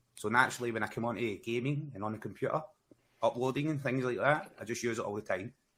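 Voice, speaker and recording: With a Glasgow accent, a man speaks at a very fast pace with ordinary pitch variation. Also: medium pitch for a man. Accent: Scottish (Glaswegian). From Scotland, Glasgow. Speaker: gaming content creator. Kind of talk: casual chat.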